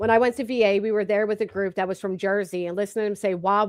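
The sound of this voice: Talking at a very fast pace, a woman with a Philadelphia accent keeps a medium pitch and monotone, flat intonation. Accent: Philadelphia-area Delco.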